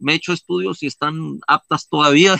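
In a dry, close sound with no echo, a man talks with a bright, sharp tone. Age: 50s. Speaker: ultramarathon runner and mountaineer. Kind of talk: interview.

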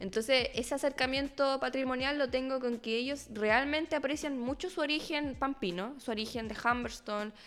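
Speaking at a moderate pace with hardly any pauses, a woman uses a high voice with ordinary pitch variation. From northern Chile (Arica, Iquique). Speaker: history student. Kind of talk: casual interview.

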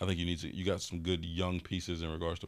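A man speaks very fast at a very deep, low pitch in a monotone, flat way. The recording is very clean, with a silent background. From Chicago West Side. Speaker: sports agent. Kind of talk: casual chat.

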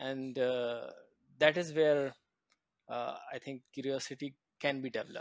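A man talks at a fairly slow pace with long, frequent pauses. His fairly high voice stays monotone, with flat intonation. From India, small town. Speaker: tech executive. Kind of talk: interview. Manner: halting.

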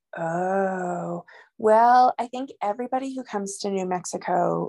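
Woman with an American accent, medium pitch and a dark, mellow tone, ordinary pitch variation, a dry, close sound with no echo and a quiet background. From New York. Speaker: physician. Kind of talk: interview.

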